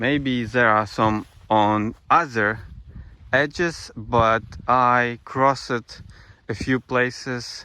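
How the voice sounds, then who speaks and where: With a Ukrainian accent, a man speaks at a medium pitch in a bright, sharp tone, with ordinary pitch variation. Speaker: travel vlogger. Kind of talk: vlog narration on site. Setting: outdoors. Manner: halting.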